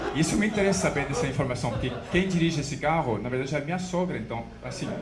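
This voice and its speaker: Speaking very fast with a French accent, a man with a fairly high pitch uses lively intonation amid audible room echo and noticeable background noise. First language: French (speaking Portuguese). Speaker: stand-up comedian. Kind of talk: stand-up.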